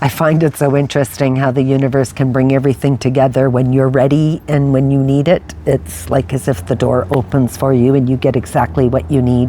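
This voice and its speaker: Noticeable background noise sits behind a woman with a very deep, low pitch. She talks at a fairly quick pace with hardly any pauses. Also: ordinary pitch variation, very even loudness. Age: 60s. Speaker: lifestyle vlogger. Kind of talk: personal reflective monologue. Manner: casual, conversational with fillers.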